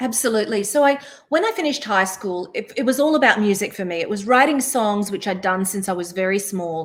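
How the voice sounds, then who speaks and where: Talking at a fairly quick pace, a woman with an Australian accent uses a fairly high pitch and ordinary pitch variation. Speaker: singer, songwriter and voice-over artist. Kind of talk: interview answer. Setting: webinar video call.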